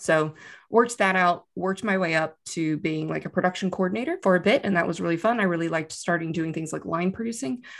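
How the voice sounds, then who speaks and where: On a very clean recording with a silent background, a woman talks very fast at a fairly low pitch. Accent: Texan. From Texas, Austin. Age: 30s. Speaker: business analyst. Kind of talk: casual interview.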